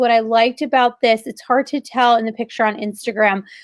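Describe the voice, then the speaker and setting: Fairly high-pitched female speech in an American accent, flat and monotone, against a quiet background. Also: dry, close sound with no echo. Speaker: interior designer, co-host. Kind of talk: casual chat. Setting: live stream video. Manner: conversational with many fillers.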